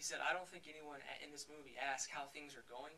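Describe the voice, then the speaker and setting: Talking at a very fast pace, a man uses a fairly high pitch and a bright, sharp tone. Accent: Texan. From Texas. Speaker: film director. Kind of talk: Q&A after film screening.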